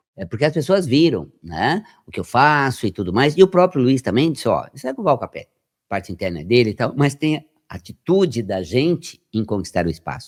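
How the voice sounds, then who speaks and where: A man's medium-pitched voice with vocal fry, very wide pitch swings and a fairly quick pace, in a dry, close sound with no echo and a very clean recording over a silent background. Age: 60s. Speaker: health metaphysics researcher and radio presenter. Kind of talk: podcast interview. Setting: podcast studio. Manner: animated.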